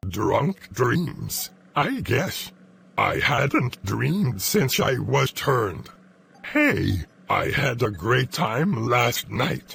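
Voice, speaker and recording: In a put-on character voice, a man talks at medium pitch and a very slow pace. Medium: actual play.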